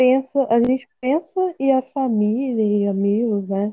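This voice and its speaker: A woman speaks at a very slow pace. Her voice is high, with ordinary pitch variation. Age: 20s. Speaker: veterinary student. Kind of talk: casual conversation, personal testimony.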